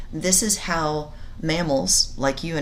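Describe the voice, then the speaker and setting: The voice shows ordinary pitch variation, with noticeable background noise and audible room echo. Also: woman. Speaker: science teacher. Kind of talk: recorded lecture. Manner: halting; many fillers.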